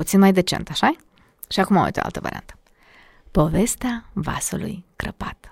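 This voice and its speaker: A woman whispers at a moderate pace with long, frequent pauses. The sound is dry and close with no echo, on a very clean recording with a silent background. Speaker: diction and public speaking coach. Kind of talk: casual interview.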